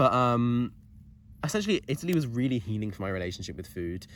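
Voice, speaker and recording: This man talks with lively intonation. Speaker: university student; tutor. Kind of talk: casual talk to camera. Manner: fast.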